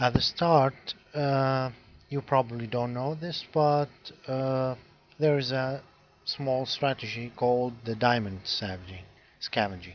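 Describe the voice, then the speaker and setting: At a fairly slow pace, this man speaks with a non-native accent, a medium pitch and ordinary pitch variation. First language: not English. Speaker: game guide creator. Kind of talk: tutorial. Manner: halting, many fillers.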